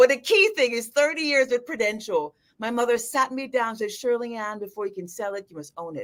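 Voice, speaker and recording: An animated woman with a Jamaican accent, fairly high pitch, lively intonation, a fairly quick pace and big swings in loudness. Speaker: financial advisor. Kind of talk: live video chat interview. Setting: livestream.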